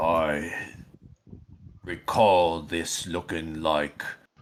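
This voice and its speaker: This is a put-on character voice. It sounds raspy. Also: man, very deep, low pitch for a man. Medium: actual play.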